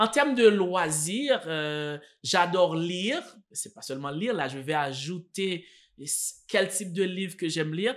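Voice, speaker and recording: With a Haitian accent, a man speaks very slowly in a high voice with lively intonation, big swings in loudness, and long, frequent pauses, on a very clean recording with a silent background. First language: Haitian Creole (speaking French). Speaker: French teacher. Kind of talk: tutorial. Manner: hesitant, many fillers and repeats.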